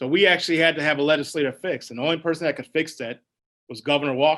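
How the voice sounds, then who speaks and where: Talking at a very fast pace with an American accent, a man has a fairly high pitch, a bright, sharp tone, fairly even intonation and big swings in loudness. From Wisconsin. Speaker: firefighters union president. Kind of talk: town hall answer. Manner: casual, conversational.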